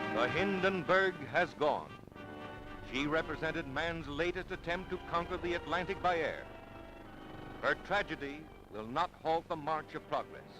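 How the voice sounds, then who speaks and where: Music plays in the background as a man speaks in a solemn, dramatic tone, his pitch high for a man. He uses ordinary pitch variation and takes long, frequent pauses. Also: moderate pace. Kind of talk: archival newsreel narration.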